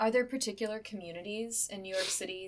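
Against noticeable background noise, a woman talks at a fairly quick pace with a fairly high pitch. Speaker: oral history interviewer. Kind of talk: oral history interview.

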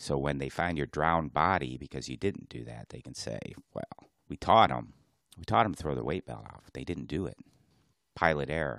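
A man's very deep, low voice with vocal fry, ordinary pitch variation and a moderate pace. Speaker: diving podcast co-host, dive instructor. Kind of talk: casual chat. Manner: soft-spoken.

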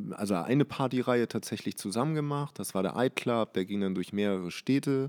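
In a dry, close recording with no echo, a man with an ordinary speaking voice talks at a fairly quick pace, his medium pitch showing ordinary variation. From Hamburg, Germany. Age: 20s. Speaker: fashion label owner. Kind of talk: casual interview. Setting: label warehouse premises.

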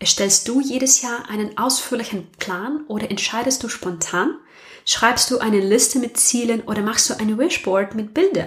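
A woman with a non-native accent speaks in a fairly high pitch with lively intonation. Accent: foreign accent in German. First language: not German (speaking German). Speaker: podcast host. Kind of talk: personal monologue.

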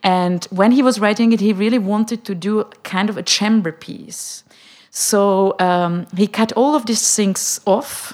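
With a Czech accent, a woman talks at a medium pitch with fairly even intonation. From Czech Republic, Prague. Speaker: opera director. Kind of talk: panel discussion.

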